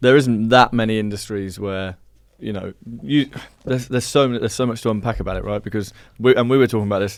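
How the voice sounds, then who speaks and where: A man speaks with a Birmingham accent at a medium pitch. His pace is very fast. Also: ordinary pitch variation. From English Midlands, Birmingham. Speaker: software company founder. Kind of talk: casual chat.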